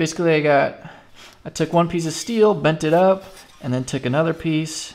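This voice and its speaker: There is music in the background as a man speaks with ordinary pitch variation. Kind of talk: casual tutorial. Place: garage.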